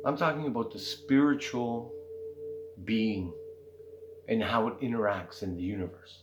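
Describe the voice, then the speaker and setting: A man speaks at a medium pitch and a moderate pace, with lively intonation and long, frequent pauses. Room echo is audible, and there's noticeable background noise. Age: 60s. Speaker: spiritual content creator. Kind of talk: casual monologue. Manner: conversational, frequent fillers.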